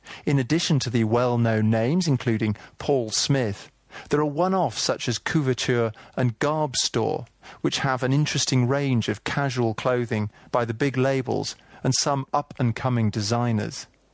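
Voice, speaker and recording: In a southern English accent, a man speaks at a moderate pace and medium pitch against a quiet background, with ordinary pitch variation and very even loudness. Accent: southern English (British). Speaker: audio tour guide narrator. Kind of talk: scripted audio walking-tour narration, second-person shopping directions. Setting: studio recording. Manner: breezy, lightly wry travel-guide delivery; clear, steady, informative pacing.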